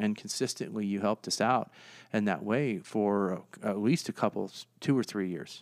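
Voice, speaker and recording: With an American accent, this is an ordinary speaking voice at a moderate pace with ordinary pitch variation, on a very clean recording with a silent background. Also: man, fairly low pitch for a man. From US, Northern Virginia (DC suburbs). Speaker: nonprofit founder, former police officer. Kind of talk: interview.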